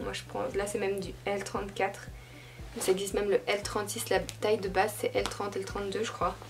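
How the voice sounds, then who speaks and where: A woman speaks at a fairly quick pace. Music plays in the background, and the room echo is audible. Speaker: fashion YouTuber. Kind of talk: casual vlog. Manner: casual, hesitant.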